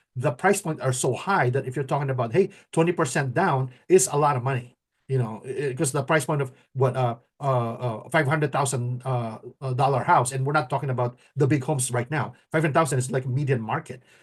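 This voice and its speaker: Against a quiet background, a man talks at a fairly quick pace in a medium pitch, somewhat breathy, with ordinary pitch variation. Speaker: mortgage professional and show host. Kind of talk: casual talk show discussion. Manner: halting, many repetitions and fillers.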